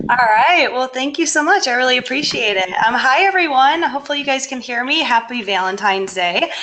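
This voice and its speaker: A woman's raised, projected, high voice with an American accent, fairly quick with hardly any pauses and lively intonation, amid noticeable background noise. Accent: Michigan accent, comes out when excited. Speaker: chemistry lecturer. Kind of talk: webinar presentation. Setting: online webinar. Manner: fast.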